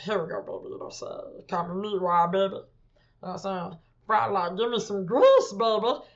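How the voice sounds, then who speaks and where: At a moderate pace, a female-sounding voice puts on a gravelly character voice at a medium pitch. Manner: silly, greasy-food-loving.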